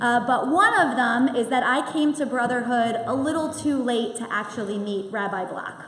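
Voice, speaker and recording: Loud and at a moderate pace, a woman speaks with a high pitch and lively intonation over noticeable background noise. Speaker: synagogue president. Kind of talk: event welcome speech. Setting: synagogue hall with audience and microphone.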